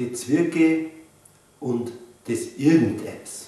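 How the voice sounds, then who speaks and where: A man with a Bavarian accent amid noticeable background noise. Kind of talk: children's book reading.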